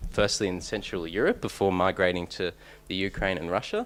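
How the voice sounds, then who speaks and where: Speech moves at a fairly quick pace. The speaker has an Australian accent. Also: man. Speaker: PhD researcher, conference speaker. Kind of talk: conference talk. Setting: conference room with audience. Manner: hesitant, many fillers and restarts.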